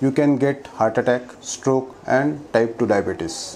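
This man's pitch moves in an ordinary way. He talks at a moderate pace. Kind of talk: health explainer talk to camera. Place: office. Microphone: lapel.

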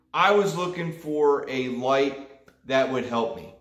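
A man speaks at a very slow pace with ordinary pitch variation. Audible room echo surrounds his voice. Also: quiet background. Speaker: fishing vlogger. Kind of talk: casual vlog chat.

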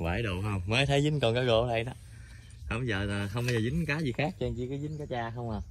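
A man's medium-pitched voice, fairly quick, with ordinary pitch variation

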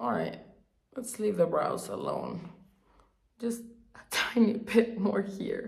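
A woman at a very slow pace with long, frequent pauses. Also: quiet background. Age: 30s. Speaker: beauty youtuber. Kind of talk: casual chat. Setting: home, on a couch. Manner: chatty. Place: bathroom. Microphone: phone near.

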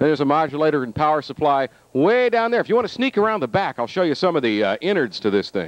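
Speaking at a very fast pace, a man comes through with a dry sound and no echo. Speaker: tour guide. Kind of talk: casual guided tour commentary. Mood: playful, joking. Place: factory. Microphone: handheld.

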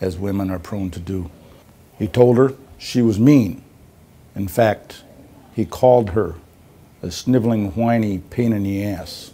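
A man with a dark, mellow tone and fairly low pitch talks at a fairly slow pace, with big swings in loudness and long, frequent pauses. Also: ordinary pitch variation. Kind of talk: acted dramatic monologue. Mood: solemn, pleading, mock serious. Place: office. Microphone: lapel.

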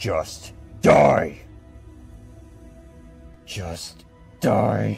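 A man's put-on character voice, fairly low in pitch with a husky, rough edge and vocal fry, lively intonation, a very slow pace, and faint music in the background. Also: slightly mellow tone.

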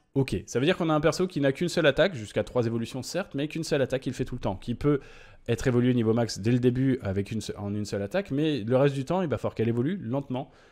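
A man speaks at a very fast pace, with a quiet background behind him. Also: lively intonation. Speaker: gaming YouTuber; gaming content creator. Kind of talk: game patch notes commentary. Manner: hesitant, many filler 'euh'. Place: home room.

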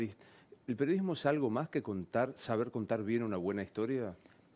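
In a Rioplatense accent, a man talks at a moderate pace with a medium pitch and lively intonation. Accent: Argentine Spanish (rioplatense). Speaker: TV interviewer. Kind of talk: interview.

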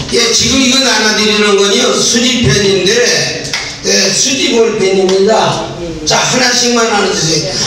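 A man speaks in a raised, projected voice, high-pitched for a man, with ordinary pitch variation. Strong room echo and noticeable background noise surround him. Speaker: church elder. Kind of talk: talk to a seminar audience. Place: hall.

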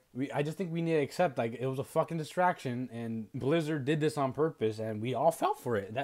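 A man delivers his words at a fairly quick pace and with lively intonation, the background quiet. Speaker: video creator. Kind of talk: casual slang. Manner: casual, profane, rambling. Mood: frustrated, ranting. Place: home room. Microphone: earbuds.

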